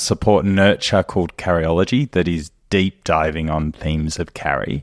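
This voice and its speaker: A man speaks at a fairly slow pace in an Australian accent, his pitch very deep and low with ordinary variation. The sound is dry and close with no echo, over a quiet background. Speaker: company co-founder and podcast host. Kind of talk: casual chat.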